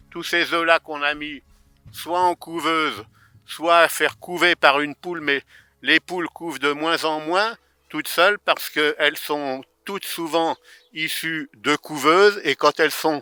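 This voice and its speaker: This man's tone is bright and sharp, with a fairly high pitch. He talks at a fairly slow pace with fairly even intonation, and the sound is dry and close with no echo. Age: 70s. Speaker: retired farmer keeping poultry. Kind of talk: guided farm tour for children. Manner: hesitant, many fillers and repeats.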